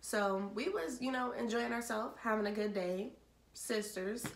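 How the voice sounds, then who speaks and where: Very slow speech from a woman at a fairly high pitch, with ordinary pitch variation and audible room echo. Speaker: vlogger. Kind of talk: storytelling. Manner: casual.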